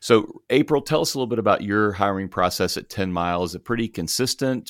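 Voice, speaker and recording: On a very clean recording with a silent background, a man with a plain, everyday voice and fairly low pitch speaks fairly quickly with ordinary pitch variation in a dry, close sound with no echo. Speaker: podcast host and ministry professor. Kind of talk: casual interview chat.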